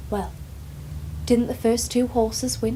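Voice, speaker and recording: A woman keeps a moderate pace while noticeable background noise continues. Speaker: care home worker (carer). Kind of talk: dramatic monologue, casual talk to camera. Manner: chatty, warm, informal.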